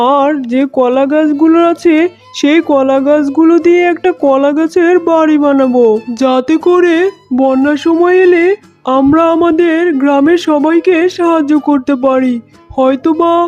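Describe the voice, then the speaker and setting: This is a cartoonish character voice. Faint music plays in the background. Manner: calm, reassuring.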